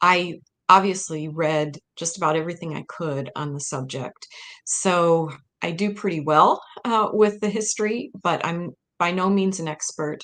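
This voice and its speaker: Speaking with a Midwestern American accent, a woman at a fairly low pitch talks at a moderate pace with ordinary pitch variation and big swings in loudness. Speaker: historian and author. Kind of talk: interview presentation.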